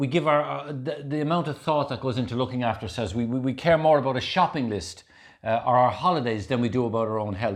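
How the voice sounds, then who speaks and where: With an Irish accent, the speaker moves at a fairly quick pace with lively intonation. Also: man. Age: 60s. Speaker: health and wellness speaker, ultra marathon runner. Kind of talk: casual chat. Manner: animated.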